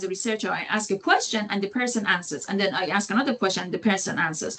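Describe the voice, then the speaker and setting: Over noticeable background noise, a woman with a medium-pitched voice talks at a very fast pace. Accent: non-native. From Iran. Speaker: sociology lecturer. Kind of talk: lecture. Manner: halting, many fillers and restarts.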